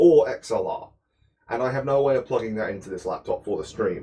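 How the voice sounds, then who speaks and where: At a moderate pace, a man speaks in a British accent. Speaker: cooking livestreamer. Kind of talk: casual chat while cooking. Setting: home kitchen livestream.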